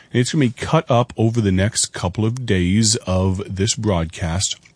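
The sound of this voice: A man talks at a moderate pace with a fairly low pitch, a raspy voice with a slightly husky edge, and ordinary pitch variation.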